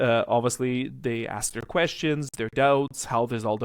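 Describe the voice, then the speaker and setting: On a very clean recording with a silent background and a dry, close sound with no echo, a man speaks at a medium pitch and a fairly quick pace. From Canada, Toronto. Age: 30s. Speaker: utilities and insurance broker. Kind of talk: interview. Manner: hesitant, with fillers.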